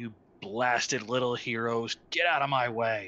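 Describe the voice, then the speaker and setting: A man puts on a growling character voice at a medium pitch. He talks at a moderate pace with fairly even intonation. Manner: growling, menacing.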